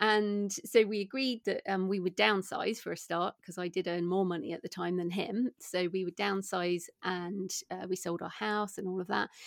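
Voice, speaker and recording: With an English accent, a woman speaks at a medium pitch and moderate pace, with hardly any pauses. Her intonation is fairly even, and the sound is dry and close with no echo. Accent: British English, English. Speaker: indie author and entrepreneur. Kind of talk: interview, casual chat.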